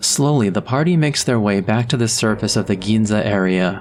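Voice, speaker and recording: At a moderate pace, a man speaks in a medium pitch over noticeable background noise. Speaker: gaming commentator. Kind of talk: game plot commentary.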